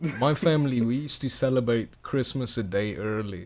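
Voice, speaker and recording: At a moderate pace, a man speaks in a plain, everyday voice at medium pitch with ordinary pitch variation. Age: young. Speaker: podcast co-host. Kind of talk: casual chat.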